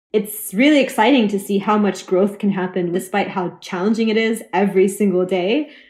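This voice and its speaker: A woman with an American accent talks in a normal speaking voice at medium pitch, with ordinary pitch variation and very even loudness. Her pace is fairly quick, and the recording is very clean with a silent background. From Oklahoma. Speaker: activist and garment collective founder. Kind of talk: interview.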